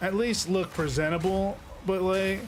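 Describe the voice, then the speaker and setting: A man's voice with fairly even intonation against noticeable background noise. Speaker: gaming streamer. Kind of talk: casual chat. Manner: halting, many fillers.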